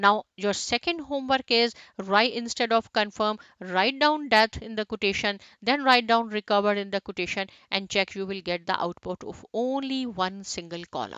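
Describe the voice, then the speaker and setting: At a moderate pace, a woman talks in a normal speaking voice, fairly high in pitch with ordinary variation. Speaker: programming instructor. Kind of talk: tutorial.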